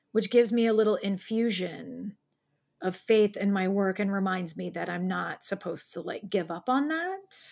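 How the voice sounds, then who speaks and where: A woman talks at a fairly slow pace with a Midwestern US accent. The recording is very clean, with a silent background. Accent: US Midwest. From Ohio. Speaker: poet. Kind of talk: casual chat.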